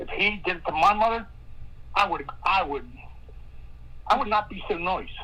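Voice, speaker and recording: A woman talks at a moderate pace, with long, frequent pauses and big swings in loudness. Noticeable background noise is present. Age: 60s. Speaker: caller with tips on a missing person case. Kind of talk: live stream discussion. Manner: halting, many repeated words.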